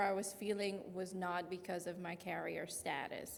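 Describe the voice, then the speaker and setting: In a Louisiana accent, a woman of medium pitch speaks with fairly even intonation amid noticeable background noise and audible room echo. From Louisiana (Lafayette area). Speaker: patient advocate and parent. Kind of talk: presentation.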